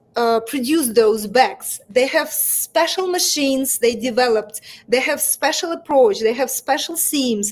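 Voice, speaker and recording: With a Russian accent, a woman speaks at a fairly slow pace in a high pitch with lively intonation. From Russia, Moscow. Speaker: fashion brand founder. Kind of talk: interview. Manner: halting.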